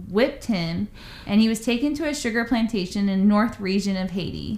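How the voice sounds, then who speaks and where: At a moderate pace, a woman with an unremarkable speaking voice talks at a fairly high pitch with lively intonation. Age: 30s. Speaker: podcast co-host. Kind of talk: casual chat, storytelling.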